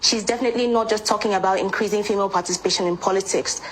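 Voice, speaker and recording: A woman speaks with a medium pitch in a monotone, flat intonation. There is noticeable background noise. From Nigeria, Anambra State. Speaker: pageant queen and lawyer. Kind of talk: interview.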